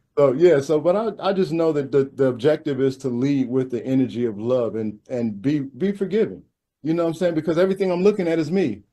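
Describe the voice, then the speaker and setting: A man with a fairly high pitch and a dark, mellow tone talks at a very fast pace with lively intonation. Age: 50s. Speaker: spiritual teacher and father. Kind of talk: casual chat.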